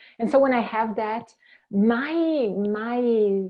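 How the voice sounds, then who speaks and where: A woman with a strong Italian accent, her speech very slow, her pitch variation ordinary. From Italy, Venice. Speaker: clinical counsellor. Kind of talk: interview. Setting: podcast. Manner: halting.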